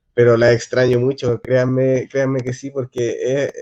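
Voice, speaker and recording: The voice has a dark, mellow tone and a Chilean accent, moving at a moderate pace in a dry, close recording with no echo. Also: man. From Chile, Antofagasta. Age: 30s. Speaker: city councillor and local historian. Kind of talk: casual talk. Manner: hesitant, many fillers.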